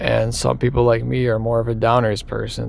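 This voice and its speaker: This man talks fairly slowly, and audible room echo hangs on his words. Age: 20s. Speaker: vlogger. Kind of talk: personal confession. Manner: halting; casual.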